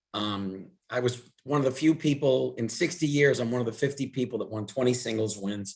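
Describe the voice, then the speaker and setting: Somewhat breathy, a man speaks at a fairly quick pace and medium pitch with ordinary pitch variation and hardly any pauses. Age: 60s. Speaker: wellness product presenter. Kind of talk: online presentation. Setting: video call. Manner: animated.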